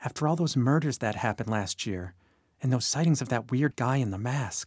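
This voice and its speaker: On a very clean recording with a silent background, a man puts on a shaky character voice at a medium pitch, going at a fairly quick pace with ordinary pitch variation. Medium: read story. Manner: nervous, quivering.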